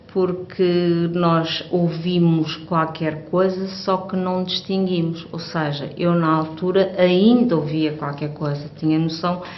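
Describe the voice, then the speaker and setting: In a European Portuguese accent, a woman speaks very slowly in a fairly low pitch with fairly even intonation, amid noticeable background noise and audible room echo. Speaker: hearing aid user. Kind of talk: testimony. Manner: halting.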